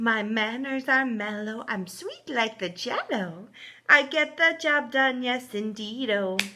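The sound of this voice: The delivery is an unforced reading voice. Pitch varies in an ordinary way.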